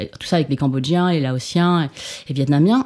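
Talking at a fairly quick pace, a woman has a dark, mellow tone. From France. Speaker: activist and food blogger. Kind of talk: interview. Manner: halting.

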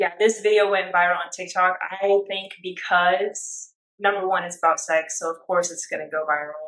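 A woman speaks with an American accent. Her medium-pitched voice stays monotone and flat. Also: moderate pace. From Orange County, California. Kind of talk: testimony.

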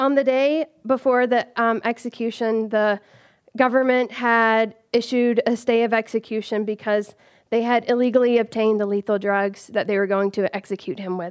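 A woman with an American accent, an unremarkable speaking voice, fairly high in pitch, the sound dry and close with no echo over a quiet background. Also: moderate pace. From US South (rural Georgia). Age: 30s. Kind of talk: live storytelling.

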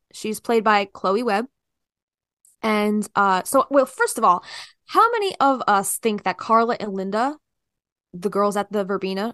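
A woman with a slight New Jersey accent at a moderate pace, ordinary pitch variation, and a dry, close sound with no echo. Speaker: podcast host. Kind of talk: casual chat.

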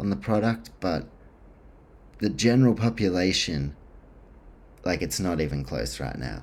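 The speaker has a New Zealand accent. The pace is moderate. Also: man. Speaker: sports podcast host. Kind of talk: solo podcast monologue. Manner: casual, many filler words.

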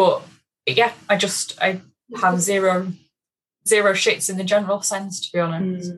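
A somewhat breathy woman's voice at a medium pitch, monotone and flat, at a moderate pace with long, frequent pauses. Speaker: guest, course attendee after pregnancy loss. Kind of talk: casual chat.

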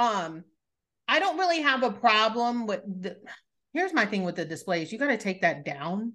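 Against a quiet background, a woman speaks at a moderate pace with a fairly high pitch and a bright, sharp tone. Her tone is animated, with very wide pitch swings. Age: 30s. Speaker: podcast host. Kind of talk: casual chat.

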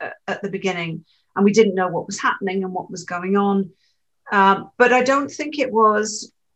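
A woman's bright, sharp tone at medium pitch, with ordinary pitch variation and a moderate pace. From Switzerland (born in UK). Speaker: novelist. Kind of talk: interview.

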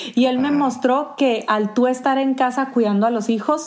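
A woman with a northern Mexican accent speaks at a moderate pace with ordinary pitch variation. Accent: northern Mexican (Sonoran) Spanish. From Sonora, Mexico. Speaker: pastor's wife and church ministry leader. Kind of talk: casual interview conversation.

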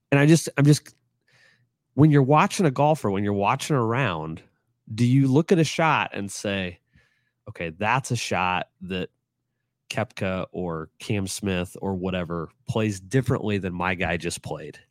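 A man with a plain, everyday voice speaks at a fairly slow pace, fairly low in pitch, with lively intonation. The sound is dry and close with no echo, on a very clean recording with a silent background. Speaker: former sportswriter and golf club employee. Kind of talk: casual interview chat.

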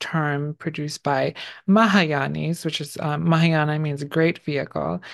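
Fairly slow delivery with fairly even intonation. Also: woman. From New York City (Bronx), born in Bangladesh. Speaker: artist and independent researcher. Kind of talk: podcast interview. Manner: halting, many fillers.

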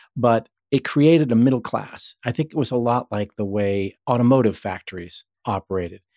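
With an American accent and a normal speaking voice, a man talks at a fairly slow pace and medium pitch with ordinary pitch variation, in a very clean, dry, close recording with a silent background and no echo. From Massachusetts, US. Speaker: tech journalist and author. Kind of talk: interview.

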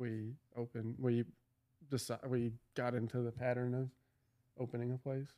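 In a dark, mellow tone, a man speaks at a moderate pace and medium pitch with monotone, flat intonation. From Kentucky, Louisville. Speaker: gym owner. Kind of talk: casual chat.

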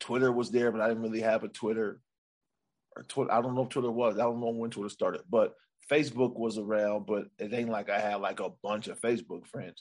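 A man with an unremarkable speaking voice and an American accent, at a fairly quick pace with fairly even intonation. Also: medium pitch for a man. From Sacramento, California. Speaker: stand-up comedian. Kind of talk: casual chat.

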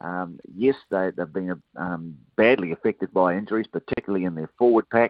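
This is an ordinary speaking voice moving at a fairly quick pace. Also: man. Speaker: rugby commentator. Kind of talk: sports analysis chat, radio interview.

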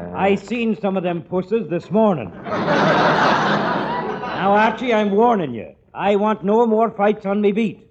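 A man's put-on character voice, high in pitch with big swings, slightly mellow in tone with a slightly husky edge, at a slow pace with long, frequent pauses

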